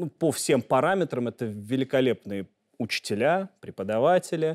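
The background is quiet. A man talks at a moderate pace and a medium pitch. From Russia. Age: 30s. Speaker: journalist. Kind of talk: interview. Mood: calm, assured. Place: studio. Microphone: lapel.

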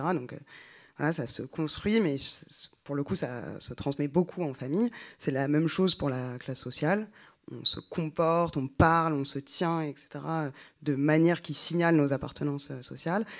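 Over a quiet background, a woman with a very deep, low pitch speaks at a fairly slow pace. She leaves long, frequent pauses. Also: ordinary pitch variation. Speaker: sociologist; speaker. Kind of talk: panel talk. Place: hall. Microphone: handheld.

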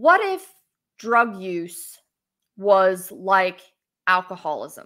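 Against a quiet background, a woman with an American accent speaks at a very slow pace with long, frequent pauses. Her tone is bright and sharp, with ordinary pitch variation. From West Virginia. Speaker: political candidate and lawyer; candidate, lawyer. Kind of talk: interview. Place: home room. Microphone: webcam.

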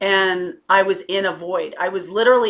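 A woman speaks at a medium pitch against a quiet background. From Connecticut, US. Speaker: tarot reader and spiritual coach; tarot reader, spiritual coach. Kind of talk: personal testimony to camera. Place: home room. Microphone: webcam.

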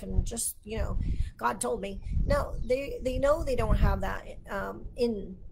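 Noticeable background noise accompanies a woman speaking with an American accent. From Texas. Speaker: Bible teacher. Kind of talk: livestream Bible teaching. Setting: Facebook live stream. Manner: animated. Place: home room. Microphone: webcam.

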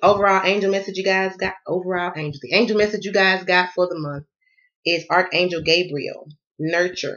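Against a quiet background, a woman with a Southern US accent talks at a fairly quick pace. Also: fairly even intonation. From US South. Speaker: tarot card reader. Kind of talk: tarot reading. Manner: fast. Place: home room. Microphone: phone near.

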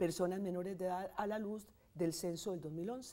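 This is a woman speaking. There is noticeable background noise. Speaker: statistics professor. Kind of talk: interview.

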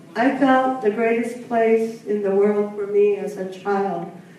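Strong room echo and light background noise surround a woman whose intonation stays fairly even. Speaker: panelist. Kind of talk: personal storytelling talk. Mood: reflective, warm, slightly wistful. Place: hall.

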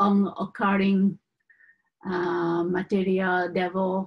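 The speaker is a woman with a medium pitch. The background is quiet. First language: not English. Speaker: Buddhist teacher. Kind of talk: teaching. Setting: live teaching to a group. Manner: halting, hesitant with fillers. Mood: calm, gentle. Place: home room. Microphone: webcam.

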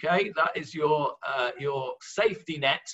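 Quiet surroundings and a male speaker. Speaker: religious teacher. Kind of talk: lecture. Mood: warm, light-hearted teaching. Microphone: webcam.

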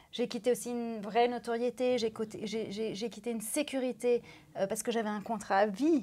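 A woman's dark, mellow tone, fairly high in pitch, with fairly even intonation at a moderate pace. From France. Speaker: former TV news presenter; TV news presenter. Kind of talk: interview. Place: studio. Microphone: lapel.

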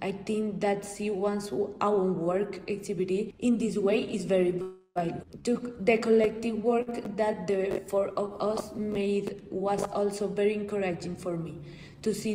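Over noticeable background noise, the speaker talks at a fairly slow pace in a monotone, flat intonation. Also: woman. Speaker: photographer. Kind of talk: pre-recorded presentation. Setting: pre-recorded video.

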